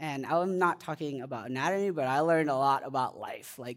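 A man's voice on a very clean recording, with a silent background. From India. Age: 20s. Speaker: preacher. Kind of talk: sermon.

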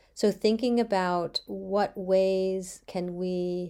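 This woman has a medium pitch, a dark, mellow tone and an American accent. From US Mid-Atlantic (Bethesda, Maryland). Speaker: early childhood educator and podcast host. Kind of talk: solo podcast monologue. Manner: frequent fillers and restarts.

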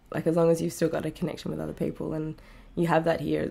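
This woman talks at a very fast pace. She has an Australian accent. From rural Australia. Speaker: singer-songwriter. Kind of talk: interview.

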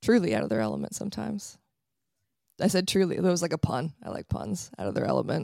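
Speech rushes along at a very fast pace on a very clean recording with a silent background. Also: woman. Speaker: astrologer. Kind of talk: casual chat. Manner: fast talker.

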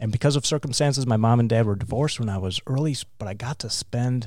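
Speaking very fast with an American accent and ordinary pitch variation, this voice comes through on a very clean recording with a silent background. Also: man. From Wisconsin, US Midwest. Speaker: business leadership group chair. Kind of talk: interview.

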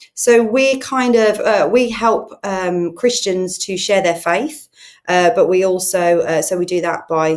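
Here is a woman with a Brummie accent. Her pitch variation is ordinary. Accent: Brummie (Birmingham). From Birmingham, England. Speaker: charity head and online church pastor. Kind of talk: casual interview, personal testimony. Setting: in person, studio.

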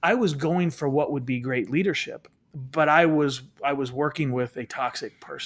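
A man with a plain, everyday voice talks at a moderate pace in a fairly high pitch, with ordinary pitch variation. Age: 40s. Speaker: leadership author and speaker. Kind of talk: interview.

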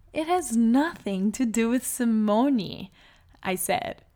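In a Portuguese accent, a woman speaks at a very slow pace with a warm tone and lively intonation, in a very clean recording with a silent background. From Brazil (Salvador, Bahia). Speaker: podcast host, life coach. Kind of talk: personal monologue. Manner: warm, with frequent laughs.

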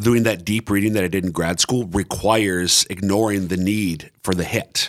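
A man with an American accent, fairly low pitch and fairly even intonation. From Minnesota. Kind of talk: casual interview. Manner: halting, many fillers and repeats.

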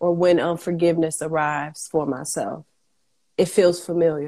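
A woman's dark, mellow tone at a very slow pace. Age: 30s. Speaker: affirmation music artist. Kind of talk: casual chat.

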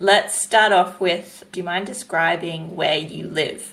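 Fairly even intonation and a moderate pace come through over noticeable background noise. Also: woman. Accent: Australian. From New South Wales, Australia. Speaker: podcast co-host and environmental educator. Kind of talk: casual interview.

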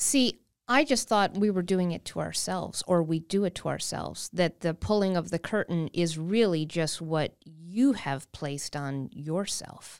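A woman's fairly low voice with an Upper Midwest accent, lively intonation, a fairly slow pace and hardly any pauses, on a very clean recording with a silent background. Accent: Upper Midwest American. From Wisconsin. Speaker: comedian and cartoonist. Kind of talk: casual chat.

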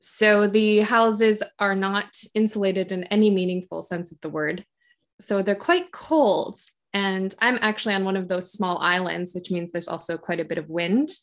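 Over a quiet background, a woman talks with an American accent at a medium pitch. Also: ordinary pitch variation, moderate pace. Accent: general American, slight Canadian-like. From Michigan, US. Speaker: podcaster, teacher in Japan. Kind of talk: interview, casual chat.

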